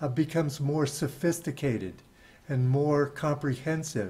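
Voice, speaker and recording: A man's somewhat breathy, dark and mellow voice, fairly high in pitch, at a moderate pace. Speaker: podcast host. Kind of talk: interview. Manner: halting.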